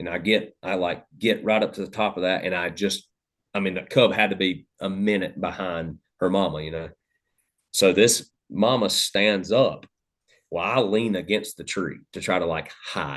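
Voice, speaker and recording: Speaking at a moderate pace, a man with an Appalachian accent keeps his fairly low pitch at a fairly even intonation. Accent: Southern US (Appalachian). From US South, Western North Carolina. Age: 30s. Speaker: hunting podcast host, guest. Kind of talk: casual chat, storytelling. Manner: loud.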